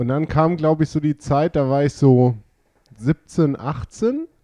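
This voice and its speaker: The speaker is a man with a fairly high pitch. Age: 20s. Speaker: podcast guest, gamer. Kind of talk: casual chat.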